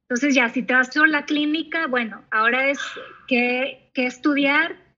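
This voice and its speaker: In a quiet background, a woman projects a raised, bright, sharp voice. Her pitch is high with ordinary variation, and her pace is moderate. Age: 30s. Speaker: psychologist. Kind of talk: interview.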